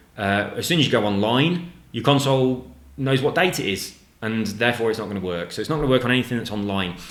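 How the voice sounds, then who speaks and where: A man talks at a very fast pace in a medium pitch. Audible room echo surrounds his voice. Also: lively intonation. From English Midlands, Nuneaton near Coventry. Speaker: gaming YouTuber. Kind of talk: casual chat.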